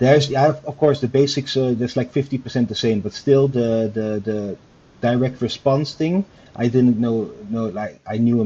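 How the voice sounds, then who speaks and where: A man speaks quietly at a moderate pace with a medium pitch. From Netherlands. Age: 30s. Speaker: online store owner, program student. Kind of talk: interview. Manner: halting, hesitant.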